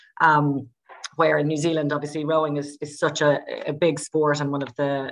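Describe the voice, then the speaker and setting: A woman with an Irish accent speaks at a very deep, low pitch. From Ireland. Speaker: sports scientist. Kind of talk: podcast interview. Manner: hesitant, many fillers.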